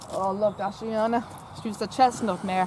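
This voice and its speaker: At a fairly quick pace, a woman speaks with an Irish accent over noticeable background noise. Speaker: horse enthusiast vlogger. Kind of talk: casual chat. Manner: halting, repetitive.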